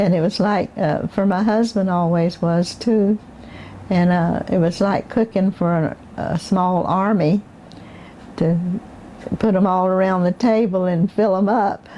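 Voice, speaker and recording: Keeping a very even loudness, a woman of medium pitch speaks at a fairly slow pace with fairly even intonation. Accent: Southern US. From Southwest Florida, USA. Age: 80s+. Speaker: oral history interviewee. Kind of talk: interview answer.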